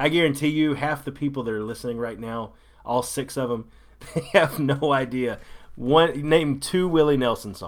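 With ordinary pitch variation, a man speaks at a moderate pace and fairly high pitch. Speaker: podcast co-host. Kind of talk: casual chat. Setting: remote call from home. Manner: loud.

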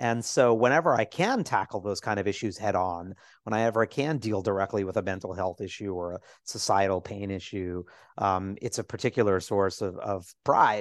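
With an American accent and a plain, everyday voice, a man speaks at a moderate pace, his fairly low pitch showing ordinary variation. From New York City, Lower East Side. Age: 40s. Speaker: Broadway producer and writer. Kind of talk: casual interview.

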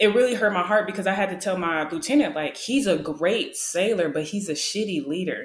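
A woman talks in a plain, everyday voice at a medium pitch. Her intonation is lively and her pace fairly quick. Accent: American. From Wisconsin, US. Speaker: solo podcaster, military service member. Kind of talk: casual conversation, personal storytelling.

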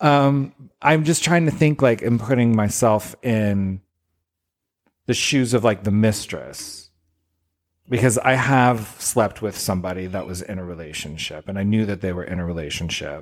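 Recorded very cleanly against a silent background, a man with a plain, everyday voice speaks fairly low in pitch at a moderate pace with lively intonation. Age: 40s. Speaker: podcast co-host. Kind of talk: casual chat.

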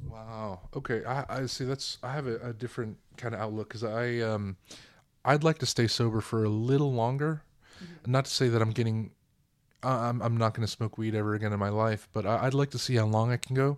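A man speaks at a fairly quick pace in a normal speaking voice, his pitch medium and his intonation fairly even. The recording is very clean, with a silent background. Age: 20s. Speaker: guest, cousin of host.

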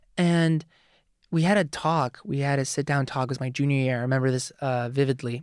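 Against a quiet background, a man with an American accent uses a plain, everyday voice, fairly high in pitch, at a fairly quick pace with fairly even intonation. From US South, Forsyth County. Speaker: film student. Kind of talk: casual chat.

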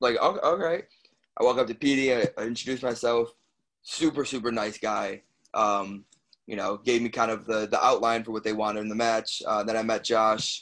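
With an American accent, a man of medium pitch speaks fairly quickly in fairly even intonation, using an unremarkable speaking voice. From Chicago. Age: 20s. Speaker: professional wrestler. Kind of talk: casual interview.

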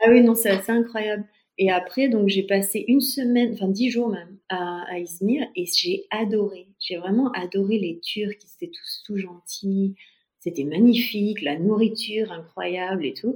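A woman's somewhat breathy voice, medium in pitch with ordinary pitch variation, at a fairly slow pace. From France. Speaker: expat mother. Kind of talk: testimony.

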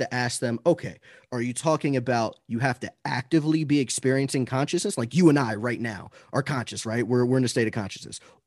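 Over a quiet background, a man talks in a normal speaking voice at medium pitch with ordinary pitch variation. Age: 30s. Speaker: anti-abortion debater. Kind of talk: casual interview.

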